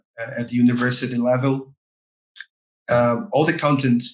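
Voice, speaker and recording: A man speaks with a Portuguese accent at a medium pitch. His pace is moderate. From Brazil, Rio de Janeiro. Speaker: game localization specialist. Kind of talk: podcast interview. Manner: halting, many fillers and repetitions.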